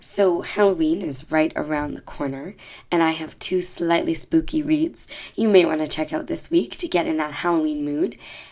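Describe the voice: At a moderate pace, a woman speaks with a low pitch, a slightly mellow tone, and ordinary pitch variation.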